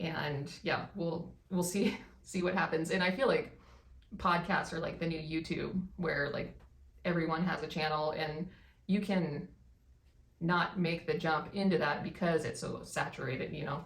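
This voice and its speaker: A somewhat breathy woman's voice, fairly low in pitch, at a fairly slow pace with fairly even intonation and audible room echo. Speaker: vlogger. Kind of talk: casual chat.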